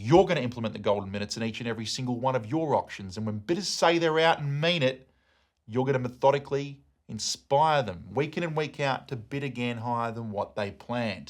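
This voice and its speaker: A man with an Australian accent talks at a very fast pace in a medium pitch, his intonation lively and his tone energetic and passionate. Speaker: auctioneer. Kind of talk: coaching lesson to camera. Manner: energetic, passionate.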